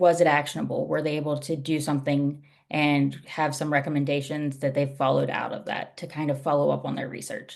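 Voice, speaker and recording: A woman talks at a fairly quick pace with hardly any pauses. Her very deep, low voice is flat and monotone, with vocal fry. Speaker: UX research operations leader. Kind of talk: presentation. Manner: fast.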